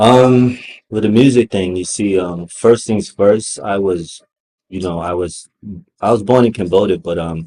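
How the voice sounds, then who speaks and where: A man's fairly low, dark and mellow voice at a fairly slow pace. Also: ordinary pitch variation. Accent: Brooklyn. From Brooklyn, New York, US. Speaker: hip hop artist. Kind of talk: interview.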